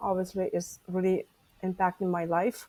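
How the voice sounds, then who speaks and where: With a Lithuanian accent, a woman speaks at a medium pitch in a dark, mellow tone and a flat, monotone intonation. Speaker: stress management coach and author. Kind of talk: podcast interview.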